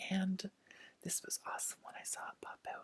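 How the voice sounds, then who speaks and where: The speaker is soft-spoken, with a soothing tone and a fairly slow pace. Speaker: tarot reader. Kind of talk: ASMR tarot reading, soft speaking and whisper. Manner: soft-spoken, soothing.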